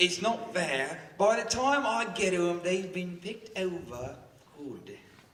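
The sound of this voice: Using a put-on character voice, a man speaks slowly at a high pitch with a fairly bright tone and lively intonation, and audible room echo surrounds him.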